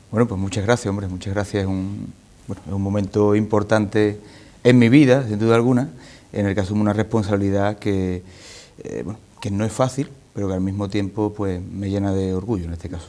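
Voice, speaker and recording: Talking at a fairly quick pace, a man with a fairly low pitch and an ordinary speaking voice keeps his intonation fairly even. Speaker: political party leader. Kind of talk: TV interview answer.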